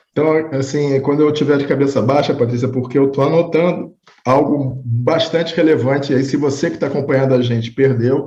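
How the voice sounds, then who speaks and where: In a Rio de Janeiro accent, a man with a fairly high voice talks at a fairly quick pace with hardly any pauses and fairly even intonation. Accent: carioca. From Rio de Janeiro, Brazil. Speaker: interview podcast host. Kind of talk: interview.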